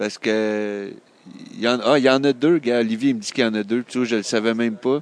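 A man speaks at a moderate pace in a medium-pitched voice with ordinary pitch variation. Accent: Quebec. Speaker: comics fan. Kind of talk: casual chat.

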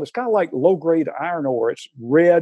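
With a Southern US accent, this man speaks at a fairly high pitch. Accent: Southern American. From US South, Atlanta, Georgia. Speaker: retired engineering professor. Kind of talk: casual interview.

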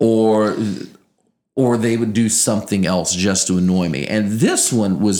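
A man speaks with a slight Southern Louisiana accent. His delivery is very slow, his tone dark and mellow. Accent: slight Cajun-tinged Southern Louisiana. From Louisiana, Acadiana. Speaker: morning radio show co-host and sports broadcaster. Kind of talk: casual interview chat.

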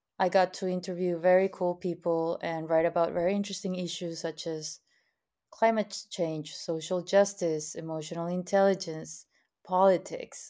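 In a Spanish accent, a woman speaks at a fairly low pitch with a dark, mellow tone and monotone, flat intonation. The recording is very clean, with a silent background. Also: moderate pace. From Mexico, Monterrey. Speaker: activist and producer. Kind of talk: interview.

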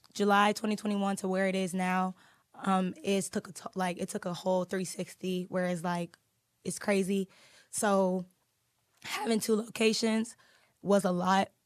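Against a quiet background, a woman with a medium pitch speaks in an animated tone at a moderate pace, leaving long, frequent pauses. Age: 20s. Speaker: lash business owner. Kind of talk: casual interview chat.

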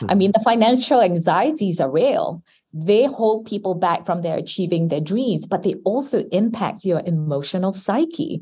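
Somewhat breathy with a dark, mellow tone, a woman swings very widely in pitch at a moderate pace with hardly any pauses. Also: medium pitch for a woman. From Singapore. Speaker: marketing executive. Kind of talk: interview.

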